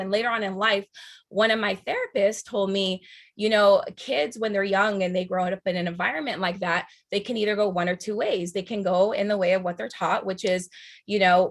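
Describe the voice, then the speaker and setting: Fairly even intonation at a fairly quick pace, in an American accent. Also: woman. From US West Coast, San Fernando, Los Angeles. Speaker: radio host. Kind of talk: motivational talk. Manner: halting.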